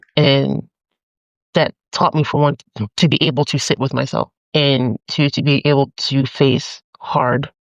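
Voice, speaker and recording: A woman with an American accent speaks at a fairly slow pace in a very deep, low voice with vocal fry. Her intonation is monotone and flat, with long, frequent pauses. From Atlantic City, New Jersey, US. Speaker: poet, spiritualist, community organizer. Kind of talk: podcast interview answer. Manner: candid, casual.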